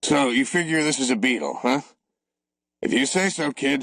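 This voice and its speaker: Putting on a character voice, a man speaks in a fairly high, raspy pitch at very even loudness. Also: moderate pace, ordinary pitch variation. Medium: read story. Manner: gruff, offhand.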